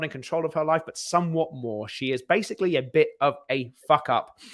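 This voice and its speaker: A man with a British accent speaks at a moderate pace in a fairly high pitch and a bright, sharp tone, recorded very cleanly against a silent background. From Britain. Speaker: screenwriter, podcast co-host. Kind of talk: casual chat. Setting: live stream.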